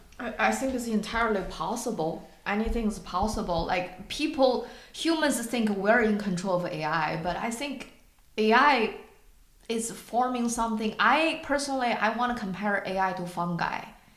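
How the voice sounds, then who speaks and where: With a non-native accent, a woman speaks at a moderate pace and a fairly high pitch with lively intonation, and room echo is audible. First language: not English. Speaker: podcast co-host. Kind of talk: casual discussion. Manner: halting, searching for words.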